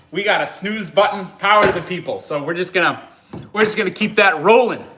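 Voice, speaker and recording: With audible room echo, a man in an American accent speaks at a high pitch. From US Upper Midwest, South Dakota Northern Plains. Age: 30s. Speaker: axe restorer and outdoors livestreamer. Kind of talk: casual livestream chat. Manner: relaxed, conversational.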